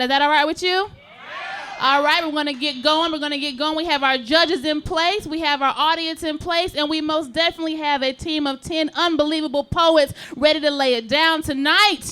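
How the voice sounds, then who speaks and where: Over noticeable background noise, a woman speaks in a raised, projected voice, high-pitched and upbeat, at a fairly quick pace. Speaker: poetry slam host. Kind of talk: live event hosting. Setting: nightclub stage, live audience.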